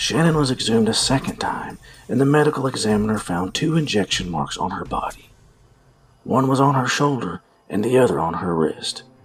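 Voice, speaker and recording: A man speaks at medium pitch and a fairly quick pace. His pitch swings very widely against noticeable background noise. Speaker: true crime podcaster. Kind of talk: true-crime narration retelling a case, with sarcastic asides. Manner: animated, sarcastic, and irreverent, swearing in asides; dramatic, storyteller pacing.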